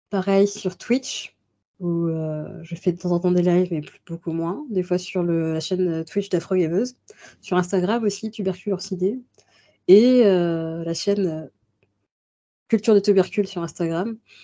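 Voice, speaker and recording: Long pauses come often in this fairly slow delivery. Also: woman, medium pitch for a woman, ordinary pitch variation. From Paris region, France. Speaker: book club host and association member. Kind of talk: interview. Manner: halting.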